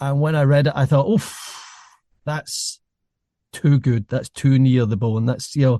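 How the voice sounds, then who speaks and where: Against a quiet background with a dry, close sound and no echo, a man with a fairly high pitch, a dark, mellow tone, and ordinary pitch variation speaks at a fairly slow pace with long, frequent pauses. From Scotland. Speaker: podcast host, former journalist. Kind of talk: interview conversation.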